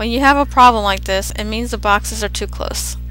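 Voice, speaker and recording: Music sits in the background while a woman talks at a moderate pace. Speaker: Second Life breedables seller. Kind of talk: software tutorial. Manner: casual, rambling.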